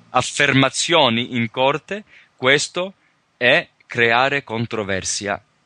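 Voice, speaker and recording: A man with a non-native accent speaks at a very slow pace with lively intonation and a bright, sharp tone. The sound is dry and close with no echo. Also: medium pitch for a man. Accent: non-native Italian, imperfect. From Australia, rural Victoria, Calabrian parents. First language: English (speaking Italian). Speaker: sovereignty researcher and teacher. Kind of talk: interview. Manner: halting, many hesitations.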